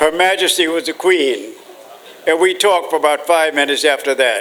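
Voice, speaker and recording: Speaking at a fairly quick pace with ordinary pitch variation, the voice comes through over noticeable background noise. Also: man, fairly high pitch for a man. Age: 90s. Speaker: war veteran and former ambassador. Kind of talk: speech to an audience.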